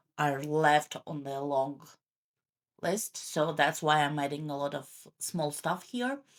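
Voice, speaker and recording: Her pitch is very deep and low, with fairly even intonation. The woman mumbles her words. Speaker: journaling content creator. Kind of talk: tutorial voice-over. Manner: mumbling; hesitant, many fillers.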